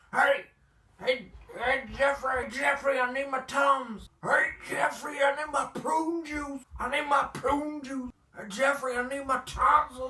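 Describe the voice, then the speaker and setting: This is a put-on character voice pitched high. It unfolds at a fairly slow pace. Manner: whiny, demanding.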